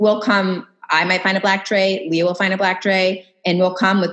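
A woman speaks in an American accent at a moderate pace. Hers is an unremarkable speaking voice. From Massachusetts, US. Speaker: interior designer, former psychologist. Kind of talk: casual interview chat.

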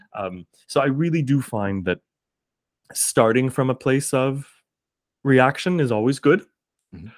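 This man has a Canadian accent and a medium pitch, speaking fairly slowly with lively intonation. His loudness swings widely, and he leaves long, frequent pauses. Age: 30s. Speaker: teacher and singer-performer. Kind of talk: casual interview conversation.

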